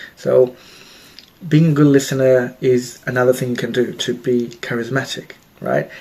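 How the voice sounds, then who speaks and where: At a medium pitch, a man talks over noticeable background noise. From Australia. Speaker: self-help vlogger, healthcare worker. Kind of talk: casual advice talk to camera. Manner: hesitant, frequent repetitions.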